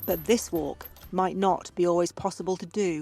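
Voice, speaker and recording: Music plays in the background as a woman speaks. Her voice is fairly low, at a moderate pace. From British. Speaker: voice-over artist and filmmaker. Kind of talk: casual talk to camera while walking.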